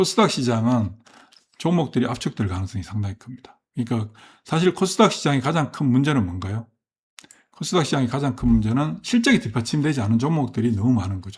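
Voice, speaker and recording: Speaking at a very fast pace, a man with a medium pitch sounds somewhat breathy as his voice makes very wide pitch swings. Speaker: stock market commentator. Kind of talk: market commentary monologue. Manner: hesitant, many fillers and self-corrections.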